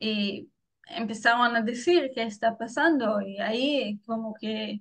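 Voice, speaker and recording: Somewhat breathy, a woman speaks very slowly at a fairly high pitch with ordinary pitch variation. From Israel. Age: 20s. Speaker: former soldier. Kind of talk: interview testimony. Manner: halting.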